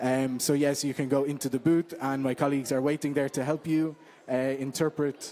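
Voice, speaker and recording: In an Irish accent, a man speaks at a moderate pace. His fairly high voice has a dark, mellow tone and fairly even intonation. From Ireland. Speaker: interpreter and social media manager. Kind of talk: event welcome talk. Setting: meeting room with live audience. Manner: hesitant with many fillers.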